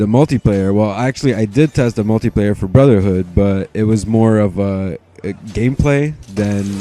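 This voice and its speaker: A man with a Quebec accent, fairly low pitch, ordinary pitch variation and moderate pace, over noticeable background noise. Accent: French Canadian accent in English. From Quebec, Montreal. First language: French. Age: 20s. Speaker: gaming commentator. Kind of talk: gameplay commentary. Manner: halting, many fillers and repetitions; casual, laid-back.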